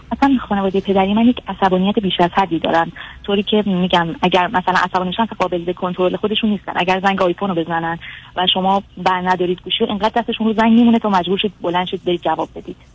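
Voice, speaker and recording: A woman races along very fast, her medium-pitched voice keeping a fairly even intonation. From Iran. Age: 20s. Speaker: caller to a psychology advice show. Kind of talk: advice call-in, personal story. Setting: phone call.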